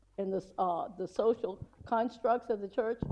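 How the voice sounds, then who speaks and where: A woman's fairly high voice carries a dark, mellow tone. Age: 70s. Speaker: audience member asking a question. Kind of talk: audience question at panel. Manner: halting.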